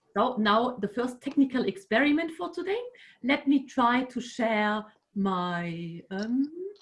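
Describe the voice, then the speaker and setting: Speaking at a fairly slow pace in a German accent, a woman uses a high pitch and lively intonation. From Germany. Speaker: music researcher. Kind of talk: online workshop lecture. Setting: video call. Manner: halting.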